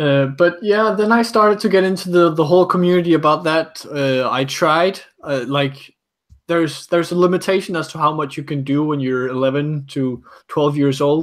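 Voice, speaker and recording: A man speaks with a fairly high pitch and ordinary pitch variation. His pace is moderate. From Denmark. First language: Danish. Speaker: Lego builder and former stop motion animator. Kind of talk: casual interview chat. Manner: halting with many fillers.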